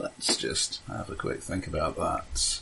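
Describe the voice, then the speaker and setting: At a very slow pace, a man speaks over noticeable background noise. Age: 40s. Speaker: tabletop game master. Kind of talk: role-playing game narration. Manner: halting.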